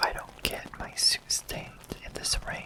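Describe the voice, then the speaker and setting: Fairly slow whispering against noticeable background noise. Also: man. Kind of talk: ASMR scary story reading. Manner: whispered.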